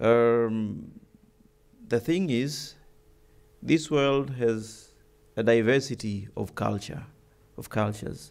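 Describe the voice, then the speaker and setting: His pace is very slow. The voice is a man's. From Tanzania. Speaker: ambassador; keynote speaker. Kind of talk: keynote speech. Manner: unscripted, with frequent hesitations. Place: hall. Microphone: podium.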